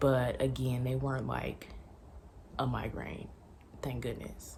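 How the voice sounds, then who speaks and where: Quietly, a woman speaks through audible room echo and noticeable background noise. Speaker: lifestyle vlogger. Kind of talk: pregnancy update vlog. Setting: at home. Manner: quiet, talking low; casual, filler-heavy.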